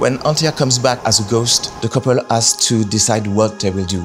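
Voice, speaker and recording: A man speaks while music plays in the background. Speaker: game narrative director. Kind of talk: interview answer.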